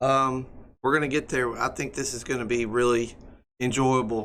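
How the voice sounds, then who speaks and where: A man speaks at medium pitch and moderate pace, with fairly even intonation. His tone is bright and sharp, with audible room echo. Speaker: EMS instructor. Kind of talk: lecture. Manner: hesitant, many fillers.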